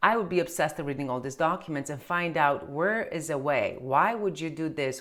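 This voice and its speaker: In a Romanian accent, a woman speaks with a very deep, low pitch and ordinary pitch variation. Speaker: tax accountant. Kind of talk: casual chat. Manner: halting.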